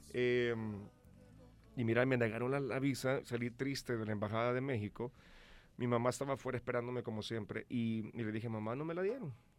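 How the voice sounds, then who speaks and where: A man at a medium pitch with fairly even intonation and a fairly quick pace, music in the background. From El Salvador. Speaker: singer. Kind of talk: radio interview. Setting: radio studio.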